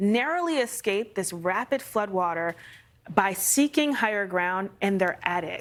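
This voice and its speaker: In a very clean recording with a silent background, a woman uses an ordinary speaking voice at a medium pitch, talking at a fairly slow pace with lively intonation. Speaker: TV meteorologist. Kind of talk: TV news interview.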